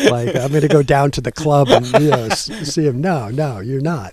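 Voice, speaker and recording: Against noticeable background noise, a man talks at a moderate pace. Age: 60s. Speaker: community radio host, music enthusiast. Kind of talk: casual chat. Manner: halting, many fillers and restarts.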